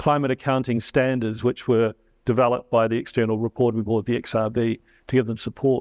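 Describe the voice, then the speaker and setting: A man speaks in a New Zealand accent at a moderate pace with fairly even intonation. The sound is dry and close with no echo, and the background is quiet. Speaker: climate risk adviser. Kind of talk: panel discussion. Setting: stage with audience.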